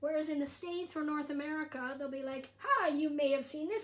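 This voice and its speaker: With a Canadian accent, a woman talks at a high pitch with fairly even intonation. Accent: generic Canadian. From Canada. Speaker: stand-up comedian. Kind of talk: casual livestream chat. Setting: social media livestream.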